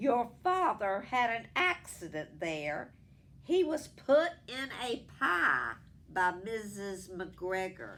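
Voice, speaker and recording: Using a put-on character voice, a woman projects at a medium pitch, raised and very slow. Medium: read story.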